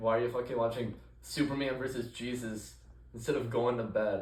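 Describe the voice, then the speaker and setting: A man speaks with monotone, flat intonation amid audible room echo. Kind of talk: casual chat.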